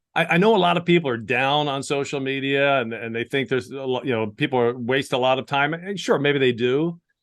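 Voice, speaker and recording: A man with a plain, everyday voice talks at a fairly quick pace in a fairly high register, with hardly any pauses. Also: ordinary pitch variation. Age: 60s. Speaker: sports play-by-play broadcaster and leadership communication coach. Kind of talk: casual interview answer.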